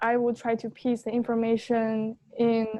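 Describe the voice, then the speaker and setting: A woman with a non-native accent speaks at a moderate pace and a fairly high pitch. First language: not English. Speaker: LSAT student in coaching session. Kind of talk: casual chat. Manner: hesitant, many fillers.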